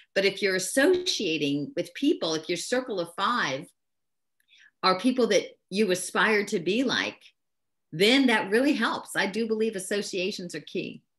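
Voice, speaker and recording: A woman talks at a moderate pace and a medium pitch with lively intonation. She has a plain, everyday voice, and the background is quiet. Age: 60s. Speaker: business leader and network marketer. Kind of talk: interview.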